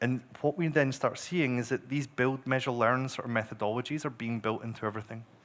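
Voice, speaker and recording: In a Scottish accent, a man at medium pitch speaks very fast with hardly any pauses and fairly even intonation, on a very clean recording with a silent background. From Scotland. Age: 40s. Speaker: growth marketer. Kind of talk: conference talk.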